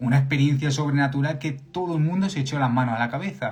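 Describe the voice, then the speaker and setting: With a Spanish accent, a man talks in an animated tone at a fairly quick pace with ordinary pitch variation and audible room echo. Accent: Spanish (Spain). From Spain. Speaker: preacher. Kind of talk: sermon. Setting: live stream. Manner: animated, repetitive emphasis.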